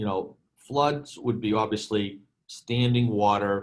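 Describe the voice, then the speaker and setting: Someone with a Boston accent speaks at a very slow pace with fairly even intonation. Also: man. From Boston, US. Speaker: insurance program provider, storage operator. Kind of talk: webinar presentation Q&A.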